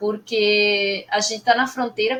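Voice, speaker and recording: A woman with a Spanish-speaking accent talks at a fairly slow pace with fairly even intonation. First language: Spanish (speaking Portuguese). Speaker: Spanish teacher. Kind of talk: opening class talk.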